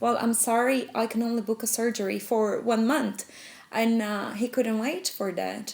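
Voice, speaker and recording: Noticeable background noise runs under a woman speaking in a Brazilian accent. She keeps a moderate pace with ordinary pitch variation. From Brazil, São Paulo. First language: Portuguese. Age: 20s. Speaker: protester, economic consultant. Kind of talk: documentary interview testimony.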